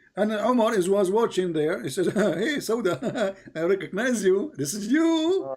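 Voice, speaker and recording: Noticeable background noise sits behind a man speaking at a fairly slow pace with hardly any pauses. His voice is high for a man and swings very widely in pitch. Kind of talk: heated debate. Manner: animated, interrogating.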